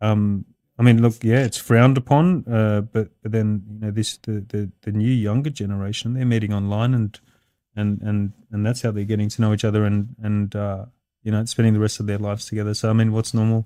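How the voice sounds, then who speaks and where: A man with an Australian accent and a dark, mellow tone speaks fairly quickly at a fairly low pitch with monotone, flat intonation on a very clean recording with a silent background. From Australia (Sydney), Lebanese heritage. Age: 30s. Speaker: construction business owner. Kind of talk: podcast interview. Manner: hesitant, many fillers.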